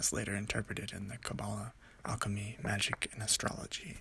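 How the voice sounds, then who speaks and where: Whispering and soft-spoken, a man talks at a fairly quick pace. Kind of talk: ASMR read-along of a book, relaxing sleep-aid reading. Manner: whispery, soft.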